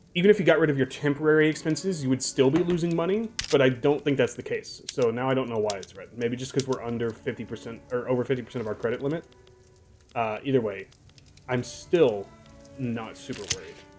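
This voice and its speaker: With ordinary pitch variation, a man talks at a very fast pace amid noticeable background noise. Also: medium pitch for a man, big swings in loudness. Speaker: gaming YouTuber. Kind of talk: let's play commentary; reading aloud. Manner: casual.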